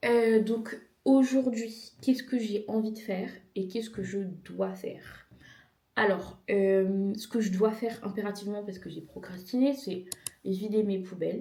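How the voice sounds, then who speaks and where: Amid audible room echo, a woman speaks at medium pitch and a fairly slow pace, her intonation fairly even but her loudness swinging widely. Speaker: vlogger. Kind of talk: casual vlog.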